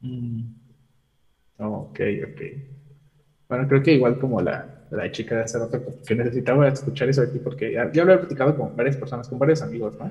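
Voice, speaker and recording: Speaking at a fairly quick pace with long, frequent pauses, a man uses a medium-pitched, dark, mellow voice with vocal fry and ordinary pitch variation. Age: 20s. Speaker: engineering student calling in for advice. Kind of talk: personal confession seeking advice. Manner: halting.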